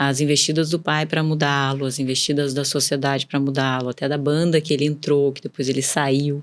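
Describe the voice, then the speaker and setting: A woman with a São Paulo countryside accent talks at a fairly quick pace with hardly any pauses, her very deep, low pitch held in a monotone, flat intonation. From interior of São Paulo state, Brazil. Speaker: businesswoman. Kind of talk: podcast interview.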